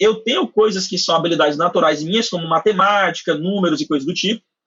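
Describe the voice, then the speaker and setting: A man speaks at a very fast pace with a Cearense accent. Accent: Cearense Brazilian Portuguese. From Ceará, northeastern Brazil. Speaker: university professor and AI researcher. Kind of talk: podcast interview.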